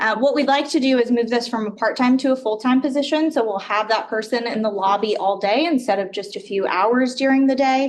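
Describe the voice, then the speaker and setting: A woman's high voice at a fairly quick pace, with hardly any pauses and ordinary pitch variation. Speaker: city department director presenting budget. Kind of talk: budget presentation at council meeting. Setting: council chamber with microphones. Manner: hesitant, many filler words. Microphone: too far from mic, mic not working.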